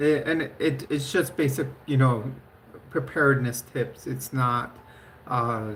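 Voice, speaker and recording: At a very slow pace, a woman with a very deep, low voice talks with vocal fry and fairly even intonation. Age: 50s. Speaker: livestreamer. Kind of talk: casual live stream chat. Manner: halting, many fillers.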